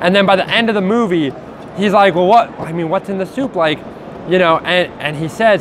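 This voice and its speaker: Fairly quick delivery and lively intonation amid noticeable background noise. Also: man. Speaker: card game player. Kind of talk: casual deck profile chat. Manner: halting, filler-heavy.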